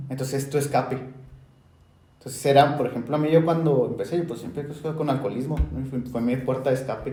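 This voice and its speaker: Against audible room echo, a man with a Mexican accent speaks at a very fast pace in a fairly high pitch, keeping his intonation fairly even. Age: 20s. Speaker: podcast host. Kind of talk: casual chat.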